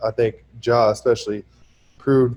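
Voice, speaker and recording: The voice is dark and mellow in tone, somewhat breathy, and delivered in a flat monotone. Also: man. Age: 20s. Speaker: professional basketball player. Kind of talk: casual interview.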